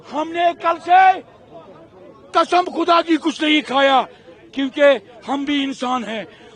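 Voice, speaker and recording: Amid noticeable background noise, a man with an extremely high voice and ordinary pitch variation speaks with long, frequent pauses. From Kashmir. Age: 60s. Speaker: local resident interviewed. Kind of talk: street interview.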